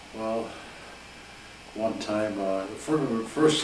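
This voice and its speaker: This speaker has an Upper Midwest accent and ordinary pitch variation. Audible room echo and noticeable background noise fill the recording. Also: man. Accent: Upper Midwest American. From Michigan, Detroit area. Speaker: grandfather telling life stories. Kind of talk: storytelling. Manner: halting, many repetitions.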